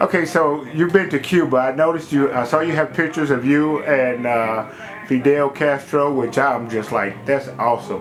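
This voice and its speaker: With music playing in the background, a man with an American accent talks at a fairly high pitch with ordinary pitch variation. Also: moderate pace. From Cincinnati, Ohio, US Midwest. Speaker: interviewer. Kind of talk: casual interview. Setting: in a private home. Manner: animated.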